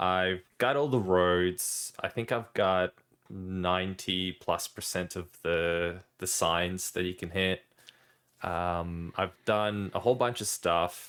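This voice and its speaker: In a very clean recording with a silent background, the speaker moves at a very slow pace with fairly even intonation. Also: man, very deep, low pitch for a man. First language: not English. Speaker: podcast co-host. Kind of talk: casual chat.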